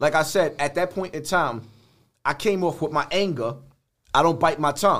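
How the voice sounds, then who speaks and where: Here a man speaks at a fairly quick pace in an animated tone. His pitch varies in an ordinary way. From New York, the Bronx. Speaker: social media personality. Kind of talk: casual chat.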